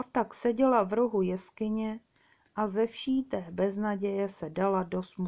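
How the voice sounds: Text in a natural reading voice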